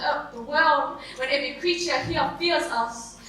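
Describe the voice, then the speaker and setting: A woman's high-pitched voice at a moderate pace over noticeable background noise. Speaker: spoken word poet, competition entrant. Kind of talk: spoken word poetry performance.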